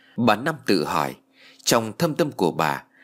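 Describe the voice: Someone does plain reading aloud. The intonation is lively.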